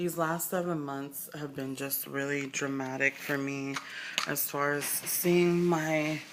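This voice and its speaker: With an American accent, a woman speaks very slowly in a very deep, low, monotone voice, with noticeable background noise and audible room echo. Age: 20s. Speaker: vlogger. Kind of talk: personal video diary. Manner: halting, with many fillers.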